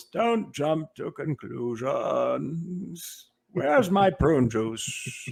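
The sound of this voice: A man speaks in a put-on character voice, pitched high. He talks at a very slow pace.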